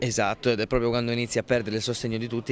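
The sound is dry with no echo, over light background noise. A man is speaking. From Italy, Abruzzo (Pescara); Abruzzo, Italy. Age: 20s. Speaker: actor. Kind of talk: interview. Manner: halting, many repetitions. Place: hall. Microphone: handheld.

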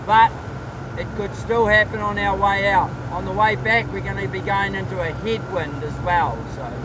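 A man at a moderate pace, dry sound with no echo, amid noticeable background noise. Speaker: tour guide. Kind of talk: tour guide commentary. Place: boat.

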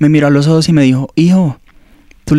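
The voice has a dark, mellow tone and fairly even intonation, moving at a very fast pace in a dry sound with no echo and a quiet background. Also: man. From Colombia, Ibagué. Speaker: seminarian. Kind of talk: testimony. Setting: studio. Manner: halting. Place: office. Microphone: handheld.

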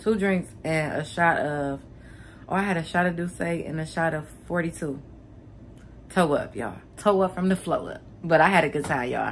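A woman speaks at a low pitch with ordinary pitch variation. Her pace is moderate.

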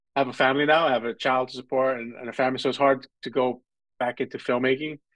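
The speaker has a New York accent and talks at a very fast pace. The intonation is monotone and flat, with a quiet background. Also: man. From New York (Brooklyn, Coney Island). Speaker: filmmaker and film festival founder; guest. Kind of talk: interview and student Q&A; interview answer. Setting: video call. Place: home room. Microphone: video call.

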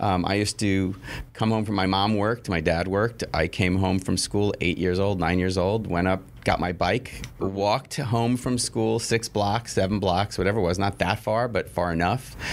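Using a normal speaking voice, a man with an American accent talks at a moderate pace and fairly low pitch with ordinary pitch variation and very even loudness. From New York City (Queens). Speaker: television network executive. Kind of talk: interview.

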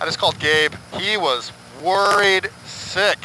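A man talks with ordinary pitch variation. The sound is dry with no echo, over light background noise. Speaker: motorcycle vlogger. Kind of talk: casual vlog chat. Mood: amused, relieved, excited. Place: motorbike. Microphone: helmet.

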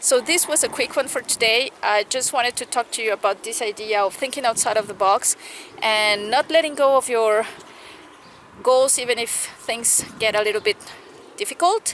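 The pace is moderate and the pitch varies in an ordinary way. Light background noise sits under a dry sound with no echo. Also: woman, fairly high pitch for a woman. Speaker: equestrian vlogger and riding coach; equestrian vlogger. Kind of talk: casual vlog talk to camera. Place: farm. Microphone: phone near.

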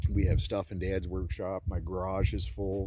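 Against a quiet background, a man with vocal fry and a dark, mellow tone speaks at a fairly slow pace and a very deep, low pitch, the sound dry with no echo. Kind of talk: casual vlog chat. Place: open country. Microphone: phone near.

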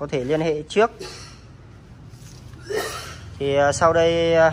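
A man speaks at a fairly high pitch. His voice shows little pitch movement.

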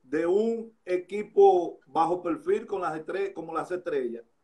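A man's dark, mellow tone with lively intonation at a very slow pace. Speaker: sports interviewer host. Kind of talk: live interview chat. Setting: Instagram live, remote. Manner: casual, jokey, chatty. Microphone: phone near.

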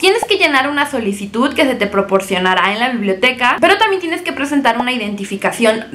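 A woman speaks with a high pitch that swings very widely. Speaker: vlogger. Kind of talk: casual vlog tutorial. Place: home room. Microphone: phone near.

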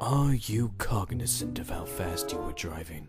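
A man puts on a character voice with a very deep, low pitch and very wide pitch swings. He keeps a moderate pace over clear music in the background. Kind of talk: comic dub.

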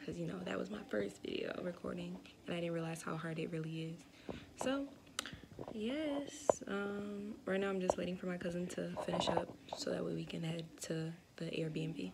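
The speech moves at an average speed while heavy noise fills the background. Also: woman. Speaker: vlogger. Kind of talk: casual vlog chat. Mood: excited, chatty. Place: home room. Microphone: phone near.

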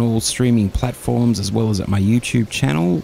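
A man with a plain, everyday voice, fairly low in pitch, at a moderate pace, with a dry sound, no echo and light background noise. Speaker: podcast host. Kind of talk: casual podcast intro. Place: studio.

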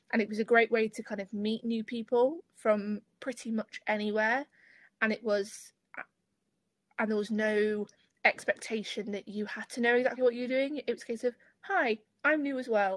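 A woman's fairly high voice at a moderate pace with fairly even intonation and long, frequent pauses, dry with no echo, over a quiet background. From Lincolnshire, England. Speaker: student ambassador. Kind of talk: webinar panel discussion. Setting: video call. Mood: friendly, relaxed. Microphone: video call.

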